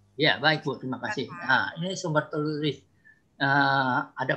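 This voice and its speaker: Against a quiet background, a man with a fairly high pitch and a bright, sharp tone talks at a fairly slow pace with ordinary pitch variation. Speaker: archaeologist and writer; guest lecturer on history. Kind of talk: webinar presentation. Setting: video call. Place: home room. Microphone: video call.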